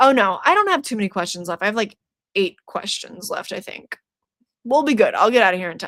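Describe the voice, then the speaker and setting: A plain, everyday voice, a woman speaks at a fairly quick pace with a fairly high pitch, lively intonation and big swings in loudness. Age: 20s. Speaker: horror YouTuber streaming trivia. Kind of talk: trivia quiz hosting.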